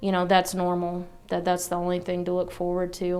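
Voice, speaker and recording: Audible room echo around a woman's voice. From Arkansas. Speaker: church member giving testimony. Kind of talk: testimony. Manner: hesitant, many fillers.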